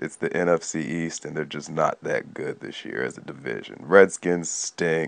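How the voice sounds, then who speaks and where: Speaking in a raspy put-on character voice, a man goes at a moderate pace with hardly any pauses. His pitch is very deep and low. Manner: deflated, disappointed.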